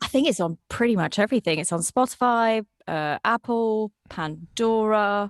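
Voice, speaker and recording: In a plain, everyday voice, a woman talks at a fairly high pitch and a moderate pace with lively intonation and hardly any pauses, the sound dry and close with no echo against a quiet background. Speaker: voice actor. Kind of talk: podcast interview answer. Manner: casual, chatty.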